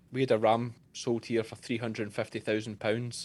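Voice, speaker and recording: A medium-pitched man with a Scottish accent speaks at a fairly quick pace in a very clean recording with a silent background. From Scotland. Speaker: sheep farmer and shearer. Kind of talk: interview answer.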